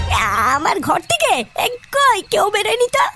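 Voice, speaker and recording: In a cartoonish character voice, a woman speaks at an extremely high pitch with faint music in the background. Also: fairly quick pace. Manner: hesitant, stammering.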